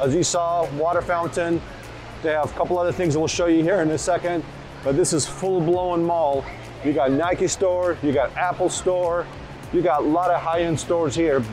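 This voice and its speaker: Over music in the background, a man with a high pitch speaks at a moderate pace with fairly even intonation and very even loudness. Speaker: family travel vlogger. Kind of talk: casual vlog chat. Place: hall. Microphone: lapel.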